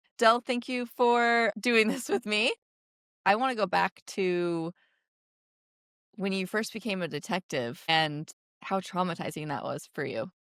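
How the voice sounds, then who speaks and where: At a fairly slow pace with long, frequent pauses, a woman speaks at a medium pitch with lively intonation, on a very clean recording with a silent background and a dry, close sound with no echo. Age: 30s. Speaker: podcast host and sober coach. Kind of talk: scripted intro narration; interview.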